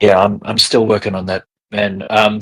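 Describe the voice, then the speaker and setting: Using a put-on character voice, a man sounds raspy. His pitch is fairly low and his pace moderate. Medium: actual play.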